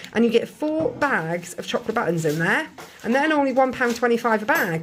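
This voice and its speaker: A woman with an English accent, fairly high pitch and very wide pitch swings, against noticeable background noise. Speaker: family vlogger. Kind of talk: grocery haul vlog. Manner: fast; casual.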